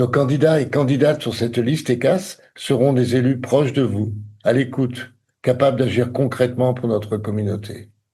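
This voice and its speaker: The man's voice has a dark, mellow tone and is somewhat breathy. He speaks at a moderate pace and medium pitch, with fairly even intonation. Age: 60s. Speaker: election candidate. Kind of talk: campaign statement. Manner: formal.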